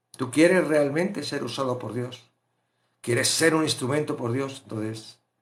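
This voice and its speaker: This man keeps a moderate pace, and his pitch varies an ordinary amount. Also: fairly high pitch for a man. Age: 60s. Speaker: Bible study teacher. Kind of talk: Bible study teaching. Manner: animated.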